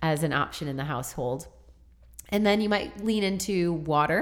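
On a very clean recording with a silent background, a woman with a very deep, low voice speaks at a moderate pace with ordinary pitch variation. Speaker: podcast host, dietitian. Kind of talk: casual educational chat.

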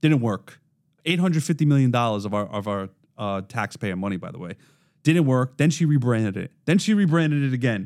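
Lively in intonation and with a Brooklyn accent, a man of medium pitch talks at a fairly quick pace on a very clean recording with a silent background. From Brooklyn, New York. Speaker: podcast host, corrections worker. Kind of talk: casual chat.

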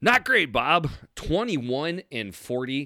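Bright and sharp in tone, a man talks in an animated way. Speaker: sports podcast co-host. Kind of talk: casual chat.

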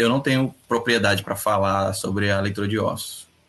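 The speaker is a man at medium pitch with ordinary pitch variation. His tone is bright and sharp. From Rio de Janeiro, Brazil. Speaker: author and practitioner of hoodoo magic. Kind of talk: casual live-stream interview.

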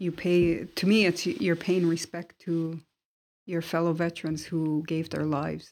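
A woman talks in a normal speaking voice. Her pitch is fairly low and her intonation fairly even. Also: moderate pace. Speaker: marine veteran. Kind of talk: interview.

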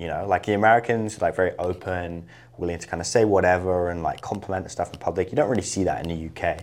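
A man with a very deep, low pitch and a southern English accent, talking at a very fast pace with fairly even intonation. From England, Isle of Wight. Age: 20s. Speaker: entrepreneur. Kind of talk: interview.

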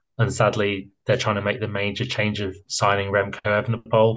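A man with a British accent speaks at a moderate pace. His pitch sits fairly low, and the background is quiet. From Britain. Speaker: cycling pundit. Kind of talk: casual chat.

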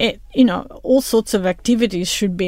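Noticeable background noise under speech with ordinary pitch variation. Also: woman. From Italy, Rome. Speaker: architect. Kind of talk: interview.

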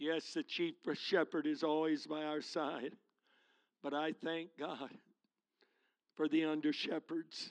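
This man speaks very slowly, with long, frequent pauses. His pitch is fairly high, and the background is quiet. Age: 70s. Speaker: guest preacher. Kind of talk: sermon. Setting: church. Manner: animated.

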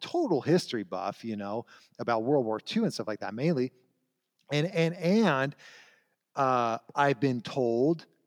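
A man's fairly high, unremarkable speaking voice with lively intonation at a moderate pace, dry and close with no echo, on a very clean recording with a silent background. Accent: American. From Southern California. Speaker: history scholar. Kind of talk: casual interview.

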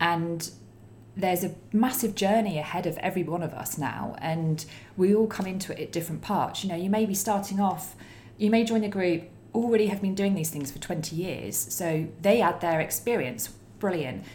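Amid audible room echo, a woman speaks at a moderate pace and medium pitch with ordinary pitch variation. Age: 30s. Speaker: eco Facebook group founder. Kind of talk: casual chat.

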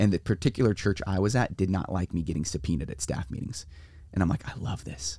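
Speaking at a very fast pace with a Californian accent, a man with a very deep, low pitch uses lively intonation and vocal fry. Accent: Californian American. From US West Coast, San Diego. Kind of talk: casual interview. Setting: mobile podcast studio in a trailer.

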